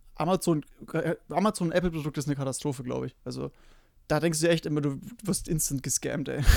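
This man talks very fast with vocal fry, a fairly high pitch and ordinary pitch variation, the sound dry and close with no echo. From Bavaria, Germany. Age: 20s. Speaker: podcast co-host, frontend developer. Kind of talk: casual chat.

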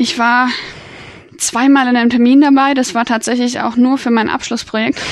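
This woman's voice is high-pitched, with monotone, flat intonation. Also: moderate pace. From Bavaria, Germany. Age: 20s. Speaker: IT consultant. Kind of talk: interview.

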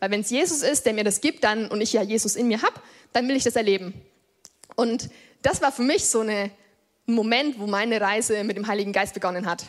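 At a fairly quick pace, a woman with a fairly high pitch and ordinary pitch variation talks, leaving long, frequent pauses. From Germany, Upper Franconia (Lichtenfels area). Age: 20s. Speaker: lay preacher. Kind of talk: sermon. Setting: church. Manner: casual youthful.

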